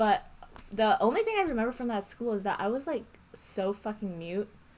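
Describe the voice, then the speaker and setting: Noticeable background noise sits behind a woman who speaks at a moderate pace with a fairly high pitch. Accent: American. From New York (Brooklyn, Queens, Long Island). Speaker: podcast guest. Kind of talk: casual chat.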